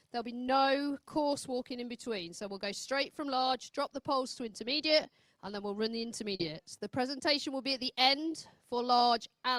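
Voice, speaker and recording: A woman speaks loudly at a fairly quick pace, her voice high with ordinary pitch variation. The sound is dry and close, with no echo. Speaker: ring manager at dog agility show. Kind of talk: announcement to handlers. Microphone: no microphone.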